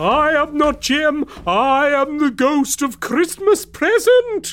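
A man's put-on character voice at an extremely high pitch, delivered at a very slow pace. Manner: silly, put-on.

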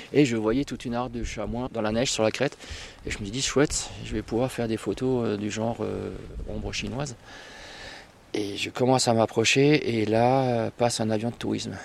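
The delivery is monotone, with flat intonation and long, frequent pauses. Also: man, medium pitch for a man, moderate pace. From northern Vosges, France. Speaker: amateur wildlife photographer. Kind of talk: casual chat. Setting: outdoors. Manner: halting.

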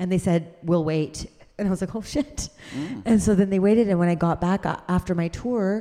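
A woman's dark, mellow voice moves at a moderate pace with ordinary pitch variation. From Canada. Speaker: comedian. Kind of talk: live podcast interview. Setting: stage with audience.

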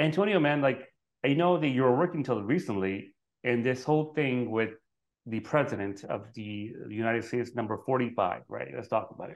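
A man with an American accent talks at a fairly quick pace in a medium pitch with ordinary variation and big swings in loudness. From Brooklyn, New York. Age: 40s. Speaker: podcast host. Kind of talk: interview. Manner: casual, stumbling.

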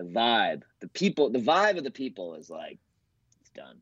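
A man with a Boston accent speaks with very wide pitch swings. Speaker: comedian. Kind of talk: casual chat. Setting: video call.

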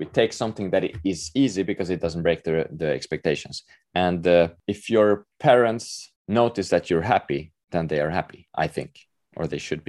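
With a Swedish accent, a man speaks at a moderate pace in a very deep, low pitch with ordinary pitch variation against a quiet background. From Sweden, Stockholm. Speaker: author. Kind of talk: interview. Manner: halting.

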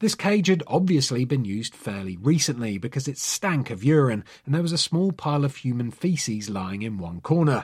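On a very clean recording with a silent background, a somewhat breathy man speaks in a dramatic tone at a fairly quick pace, with very wide pitch swings and hardly any pauses. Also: medium pitch for a man. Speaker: podcast host. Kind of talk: scripted true crime narration; dramatic narration. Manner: dramatic, suspenseful storyteller with grave tone; measured, solemn pacing.

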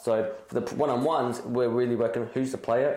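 A man mumbles at a fairly quick pace. Background noise is noticeable. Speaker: football academy co-host. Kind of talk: casual chat. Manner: mumbling.

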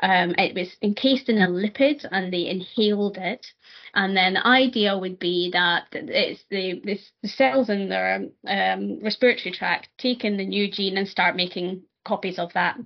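With a Scottish accent, a woman speaks at a moderate pace in a medium pitch with ordinary pitch variation. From Scotland. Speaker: nurse and PhD student. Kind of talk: interview conversation.

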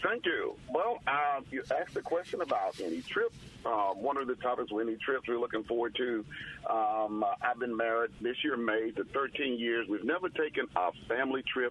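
A man speaks with a Southern US accent at very even loudness. Noticeable background noise is present. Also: medium pitch for a man, ordinary pitch variation, moderate pace. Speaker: pastor and veteran. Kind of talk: call-in comment. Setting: phone call.

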